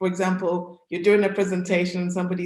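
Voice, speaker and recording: A woman with a British accent at a very fast pace. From United Kingdom. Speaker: career coach. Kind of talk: presentation to an audience. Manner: conversational.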